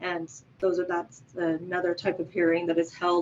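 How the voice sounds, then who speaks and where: A woman's voice at medium pitch. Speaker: victim coordinator at a parole board. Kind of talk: presentation. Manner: fast.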